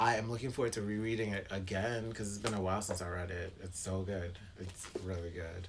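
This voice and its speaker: Room echo is audible as a man with an American accent speaks. He keeps a moderate pace and ordinary pitch variation. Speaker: booktuber. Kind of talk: casual vlog monologue. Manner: clipped.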